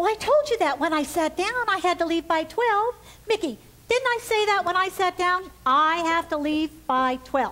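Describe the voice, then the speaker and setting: A woman in a put-on character voice, squeaky and extremely high-pitched, with lively intonation. Her loudness stays very even at a moderate pace. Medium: stage play. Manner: fussy, repetitive.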